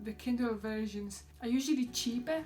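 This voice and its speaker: Amid noticeable background noise, a woman with a Polish accent talks at a moderate pace, her fairly high pitch showing ordinary variation. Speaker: vlogger. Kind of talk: product review vlog. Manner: enthusiastic.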